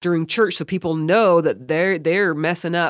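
The sound is dry and close with no echo. A woman with an ordinary speaking voice talks at a fairly low pitch and a moderate pace. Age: 40s. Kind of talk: casual interview chat. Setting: video call.

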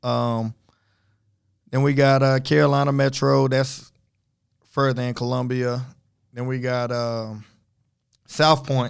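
The intonation stays fairly even. Long pauses come frequently. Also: man, medium pitch for a man, fairly slow pace. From Florida, moved to Charlotte area as youth. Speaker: high school football coach. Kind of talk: casual interview.

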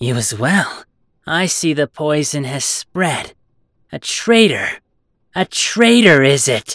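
A put-on character voice, raspy and middle in pitch, moves at a fairly slow pace with long, frequent pauses on a very clean recording with a silent background. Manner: cold, bristling, authoritative.

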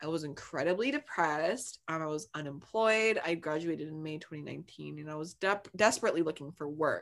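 A woman has a plain, everyday voice, fairly low in pitch with ordinary variation, and she talks at a fairly quick pace. The recording is very clean, with a silent background. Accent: American. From New Jersey. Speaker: diversity and inclusion staff at law firm. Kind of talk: casual chat.

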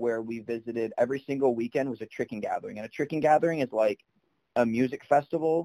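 In a dry, close recording with no echo, a man with a medium pitch and a dark, mellow tone speaks with fairly even intonation. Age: 20s. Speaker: martial arts tumbling athlete and social media influencer. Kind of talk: casual chat.

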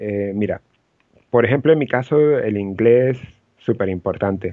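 A man's very slow delivery at a medium pitch, with lively intonation. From Venezuela, Los Teques. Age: 30s. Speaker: event production director. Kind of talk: interview.

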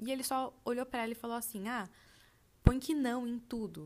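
Speaking at a fairly quick pace, a woman uses an animated tone. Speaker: podcast host. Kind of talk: casual storytelling monologue.

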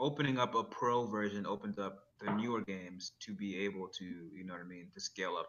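An ordinary speaking voice runs at a fairly quick pace with hardly any pauses and ordinary pitch variation. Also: man, fairly low pitch for a man. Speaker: podcast co-host. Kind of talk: casual chat.

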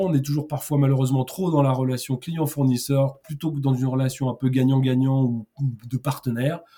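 His intonation is fairly even, at a medium pitch. This man keeps a moderate tempo. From Paris region, France. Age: 50s. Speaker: sales trainer and consultant. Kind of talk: interview. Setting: podcast. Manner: halting, many repetitions and fillers.

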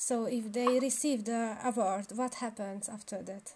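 A woman at a fairly high pitch and a very slow pace, with noticeable background noise. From Romania (Hungarian minority). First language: Hungarian. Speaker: podcast host. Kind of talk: interview. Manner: hesitant, many fillers.

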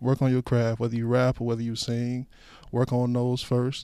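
Speaking at a moderate speed, the man has a mid-range pitch. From Chicago South Side. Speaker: music studio project manager. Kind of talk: interview.

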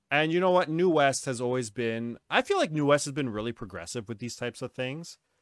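A man's ordinary speaking voice, medium in pitch, with lively intonation, a fairly quick pace and hardly any pauses, in a very clean, dry, close recording with a silent background and no echo. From New Westminster, Canada. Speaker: podcast host, wrestling show promoter. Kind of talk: casual chat. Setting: livestream with live chat.

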